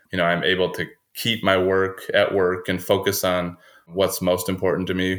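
A man's very deep, low voice with an American accent, monotone, flat intonation and moderate pace on a very clean recording with a silent background. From central Minnesota. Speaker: dentist and practice owner. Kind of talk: casual interview.

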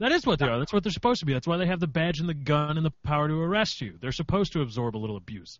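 A fairly high-pitched man at a very fast pace, with hardly any pauses and very wide pitch swings. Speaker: podcast co-host. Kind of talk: casual chat.

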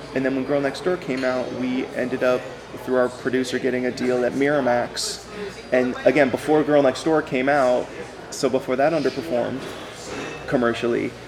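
Noticeable background noise and audible room echo surround a man's voice. He speaks with a Californian accent and fairly even intonation. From Los Angeles, San Fernando Valley. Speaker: screenwriter. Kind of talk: casual chat. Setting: diner. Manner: halting.

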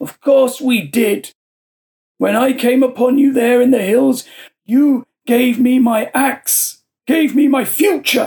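Putting on a character voice, a man speaks at an extremely high pitch with fairly even intonation and a fairly slow pace. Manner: blunt, bitter, rough with anger.

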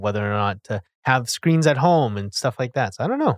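Recorded very cleanly against a silent background with a dry, close sound and no echo, a man has an ordinary speaking voice, a medium pitch and ordinary pitch variation. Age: 30s. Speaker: real estate agent and brokerage owner. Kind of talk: casual chat.

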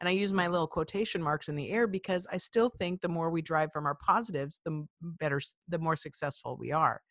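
Against a quiet background, a woman with an ordinary speaking voice and fairly low pitch talks at a fairly quick pace with hardly any pauses and ordinary pitch variation. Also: dry, close sound with no echo. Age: 50s. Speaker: podcast host and leadership trainer. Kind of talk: casual interview chat.

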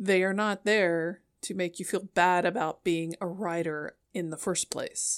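A normal speaking voice at a fairly slow pace with hardly any pauses and fairly even intonation, dry and close with no echo, on a very clean recording with a silent background. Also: woman, medium pitch for a woman. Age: 50s. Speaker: podcast host and published author. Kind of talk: solo podcast monologue. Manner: casual, conversational.

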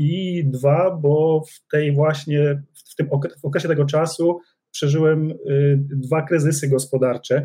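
A man speaks at a fairly slow pace in a fairly high, somewhat breathy voice. His tone is dark and mellow, and his intonation is monotone and flat. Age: 40s. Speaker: business executive. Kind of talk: interview.

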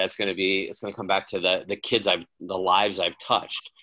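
With an Upper Midwest accent, the speaker talks at a fairly quick pace in a bright, sharp tone, recorded very cleanly against a silent background. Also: man. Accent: Upper Midwest American. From Wisconsin, Waukesha. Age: 50s. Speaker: high school baseball coach. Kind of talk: interview.

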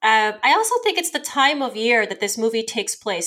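A woman's fairly high pitch, an ordinary speaking voice, at a fairly quick pace. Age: 40s. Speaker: podcast co-host and event host. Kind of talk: casual chat.

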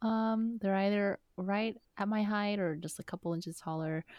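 Here a woman uses a normal speaking voice at a medium pitch and a moderate pace. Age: 30s. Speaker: podcast co-host. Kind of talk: casual chat.

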